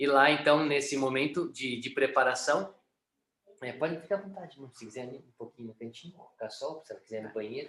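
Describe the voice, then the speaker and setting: A man with a bright, sharp tone and a fairly high pitch talks with ordinary pitch variation and big swings in loudness. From Brazil, São Paulo state (Sorocaba). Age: 30s. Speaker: missionary. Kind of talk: testimony. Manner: hesitant, many fillers.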